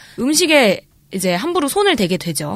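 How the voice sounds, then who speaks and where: Her pitch swinging very widely, a woman speaks at a moderate pace. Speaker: actress and podcast co-host. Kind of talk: casual chat. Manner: soft, gentle voice.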